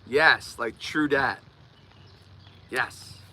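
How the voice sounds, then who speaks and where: A man speaks with a Philadelphia accent. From US, Delaware County near Philadelphia. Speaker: live streamer, life coach. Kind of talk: live stream chat. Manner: repeats words when speaking.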